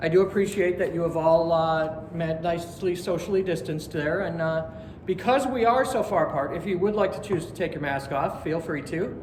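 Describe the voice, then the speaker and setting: Speaking with an American accent, a man talks at a high pitch and a moderate pace with hardly any pauses. Noticeable background noise runs underneath. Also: ordinary pitch variation. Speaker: student pastor giving a sermon at a spiritualist church. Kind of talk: church sermon to a live congregation. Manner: casual, friendly, conversational.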